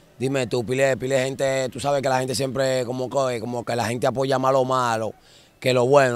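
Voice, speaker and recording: A man talks at a moderate pace and medium pitch in a monotone, flat delivery. The sound is dry with no echo. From Dominican Republic, Santo Domingo (La Ciénaga / Guachupita); Dominican Republic. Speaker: former gang member turned musician; interviewee. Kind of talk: casual interview on a neighborhood walking tour. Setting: outdoors in narrow alleys. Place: street. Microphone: handheld.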